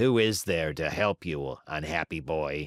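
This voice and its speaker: In a put-on character voice, a man speaks fairly slowly, raspy and very deep, low-pitched. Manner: questioning, weary.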